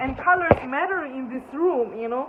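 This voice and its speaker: A woman talks at a moderate pace with a non-native accent and ordinary pitch variation. Noticeable background noise is present. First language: not English. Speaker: spiritual teacher. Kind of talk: spiritual talk. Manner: halting.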